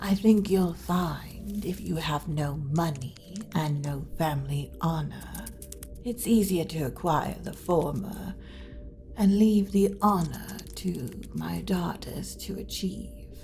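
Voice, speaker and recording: A woman performs a put-on character voice at a fairly slow pace. Clear music plays in the background. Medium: audio drama. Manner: polite, suave, dryly witty.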